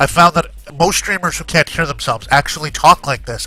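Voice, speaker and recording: A man uses a put-on character voice, nasal and high in pitch, at a fairly quick pace. Light background noise is present. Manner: demonstrating a bad streaming voice.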